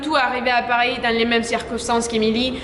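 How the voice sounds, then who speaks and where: Amid noticeable background noise and audible room echo, a woman with a high pitch speaks at a fairly quick pace. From Colombia. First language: Spanish (speaking French). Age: 20s. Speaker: model and actress. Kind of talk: vlog commentary.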